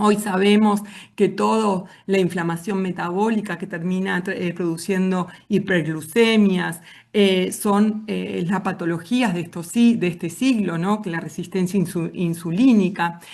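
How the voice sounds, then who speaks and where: There is audible room echo around a woman of medium pitch. She speaks at a fairly slow pace with fairly even intonation. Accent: Argentine. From Argentina, Patagonia (Neuquén). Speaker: physician, thermal medicine expert. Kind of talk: conference talk. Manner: hesitant, many fillers.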